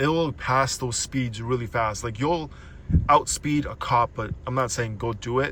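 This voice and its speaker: The man's voice is medium in pitch with a bright, sharp tone. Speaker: car owner vlogger. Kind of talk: casual walkthrough. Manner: fast; halting.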